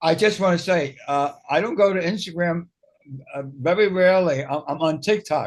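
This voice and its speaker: At a moderate pace, a man speaks with a high pitch. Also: ordinary pitch variation. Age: 80s+. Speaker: group participant. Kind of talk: casual chat.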